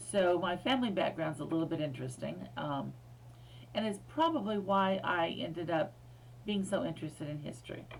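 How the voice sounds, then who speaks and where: Someone with an American accent talks at a fairly quick pace, with audible room echo. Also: woman. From US, Air Force bases in several states. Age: 60s. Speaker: history professor. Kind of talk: recorded lecture. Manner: casual, with many fillers.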